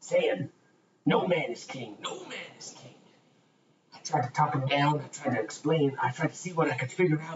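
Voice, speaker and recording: A man adopts a put-on character voice pitched fairly high. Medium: actual play. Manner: halting, repetitive, folksy.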